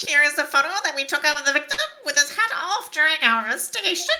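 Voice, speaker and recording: A nasal, high-pitched put-on character voice at a very fast pace. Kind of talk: formal legal speech.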